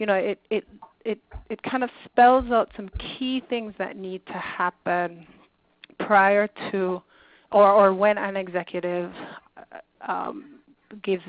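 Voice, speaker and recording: A plain, everyday voice speaks at a fairly slow pace with ordinary pitch variation. Its loudness swings widely. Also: woman. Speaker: nonprofit leadership consultant. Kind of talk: webinar presentation.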